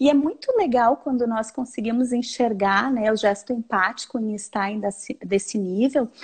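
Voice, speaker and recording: With a strong Porto Alegre accent, a woman speaks at a fairly high pitch with ordinary pitch variation. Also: moderate pace, hardly any pauses. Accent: marked Porto Alegre gaúcho. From southern Brazil, Porto Alegre. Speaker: researcher and educator. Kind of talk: live-streamed academic dialogue. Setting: video call live stream.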